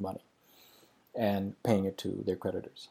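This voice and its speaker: A man's dark, mellow tone comes across on a very clean recording with total silence behind it. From Pakistan. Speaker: religious video commentator. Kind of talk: casual explanatory monologue. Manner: halting, many fillers.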